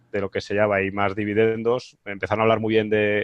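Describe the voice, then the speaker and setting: Fairly low-pitched man's monotone, flat intonation at a fairly quick pace, with a dry, close sound and no echo. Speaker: investment fund manager. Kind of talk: online presentation Q&A.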